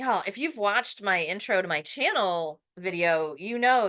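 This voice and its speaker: A voice with a bright, sharp tone and lively intonation speaks at a moderate pace against a quiet background. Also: woman. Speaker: poet. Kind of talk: casual talk to camera.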